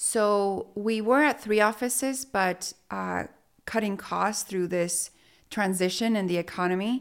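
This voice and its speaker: On a very clean recording with a silent background, a woman speaks at a fairly slow pace. Her medium-pitched voice shows ordinary pitch variation. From Mexico (Sonora), raised in Utah from age 11. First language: Spanish. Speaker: real estate business owner. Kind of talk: interview conversation.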